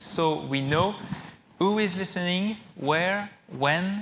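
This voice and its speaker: A man with a French accent, with audible room echo. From France. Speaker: technology company executive. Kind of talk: conference keynote. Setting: stage with audience. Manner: halting, with fillers.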